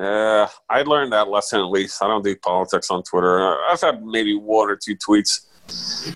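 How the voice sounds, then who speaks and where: A man with an American accent speaks at moderate pace and medium pitch, in a plain, everyday voice. The sound is dry and close, with no echo. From US. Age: 50s. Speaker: sports reporter. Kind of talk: casual chat.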